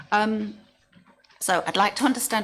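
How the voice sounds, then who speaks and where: A woman's voice with vocal fry at a fairly quick pace. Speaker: local councillor. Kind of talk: committee debate. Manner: halting, many fillers.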